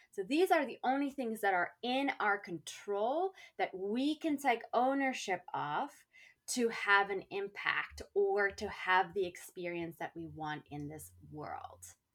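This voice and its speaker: On a very clean recording with a silent background, a woman talks at a fairly slow pace and medium pitch, with very wide pitch swings and big swings in loudness. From South Africa. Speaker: life coach and author. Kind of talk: casual interview chat.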